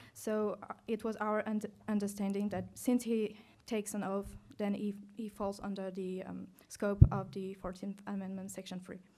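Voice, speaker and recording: With a non-native accent and a dark, mellow tone, the voice moves at a moderate pace in a monotone, flat intonation, with big swings in loudness. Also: woman, medium pitch for a woman. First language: not English. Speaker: law student competitor. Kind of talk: moot court argument. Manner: halting, many fillers.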